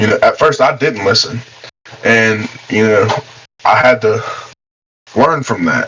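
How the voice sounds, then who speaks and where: A man at medium pitch with an Appalachian accent. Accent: Appalachian American. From West Virginia. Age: 20s. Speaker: professional boxer. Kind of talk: casual interview. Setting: podcast.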